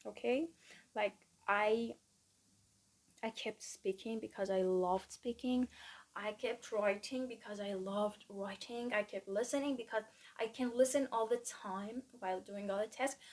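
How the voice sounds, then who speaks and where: A woman at a fairly slow pace, with fairly even intonation and long, frequent pauses. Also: fairly high pitch for a woman. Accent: Persian. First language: Persian. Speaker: student vlogger. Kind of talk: casual vlog monologue. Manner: halting, many fillers.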